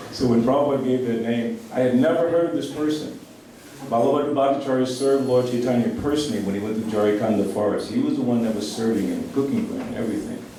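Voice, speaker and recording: Amid noticeable background noise and audible room echo, a man talks very fast at a medium pitch. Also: ordinary pitch variation. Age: 70s. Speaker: devotee speaker at a temple festival. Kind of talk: festival talk with read-out tribute.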